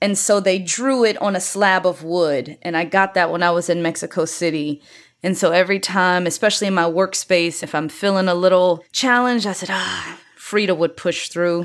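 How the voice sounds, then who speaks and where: A woman's unremarkable speaking voice at medium pitch, with an American accent, fairly even intonation, a moderate pace and hardly any pauses. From rural Virginia, Louisa County. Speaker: trend expert. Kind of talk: casual interview chat.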